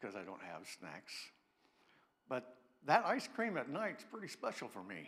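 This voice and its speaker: At a moderate pace, a man talks with vocal fry. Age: 60s. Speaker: pastor. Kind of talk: sermon. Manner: halting.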